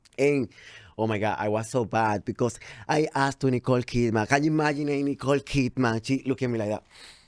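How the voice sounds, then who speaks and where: Delivered at a very fast pace with a Spanish accent and fairly even intonation, the speech comes through on a very clean recording with a silent background and a dry, close sound with no echo. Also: man, medium pitch for a man. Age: 30s. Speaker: TV entertainment reporter. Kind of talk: interview.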